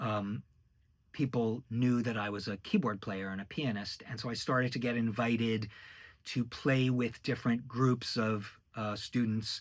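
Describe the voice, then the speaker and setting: Talking at a fairly slow pace, a man with a medium pitch keeps his intonation fairly even. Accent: American. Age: 60s. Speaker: orchestrator and musician. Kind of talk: casual monologue. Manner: hesitant, many fillers.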